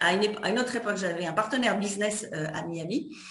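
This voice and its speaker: With lively intonation and a fairly high pitch, a woman talks in a room with audible echo. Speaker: interviewer. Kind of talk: interview. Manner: fast.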